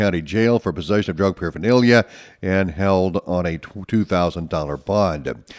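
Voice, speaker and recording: On a very clean recording with a silent background, a man with an American accent talks at a fairly quick pace in a very deep, low pitch with ordinary pitch variation. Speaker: radio newsreader. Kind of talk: local radio news reading, scripted. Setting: studio. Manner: formal, brisk, steady, even-toned delivery.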